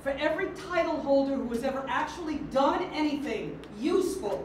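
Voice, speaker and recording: In an American accent, a woman speaks at a high pitch with ordinary pitch variation. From New York City. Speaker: auctioneer. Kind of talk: keynote speech.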